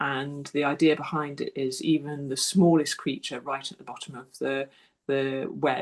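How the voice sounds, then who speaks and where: A woman's very deep, low voice at a fairly slow pace against a quiet background. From southern England, Sussex. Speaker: wildlife artist and author. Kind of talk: public talk. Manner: hesitant, with fillers.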